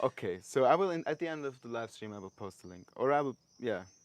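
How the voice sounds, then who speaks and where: With a Swiss German accent, a man speaks at a fairly quick pace using lively intonation. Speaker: interviewer and musician. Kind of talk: interview. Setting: live stream.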